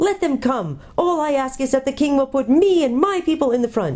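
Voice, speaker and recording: A female-sounding, put-on character voice comes through high-pitched and shrill. It moves at a moderate pace. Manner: eager, fierce.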